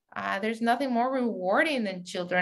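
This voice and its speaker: The voice carries vocal fry. It comes with a strong Mexican accent. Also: woman. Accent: heavy Mexican Spanish. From Mexico City, then San Diego from age 15. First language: Spanish. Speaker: media entrepreneur, CEO. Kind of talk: interview.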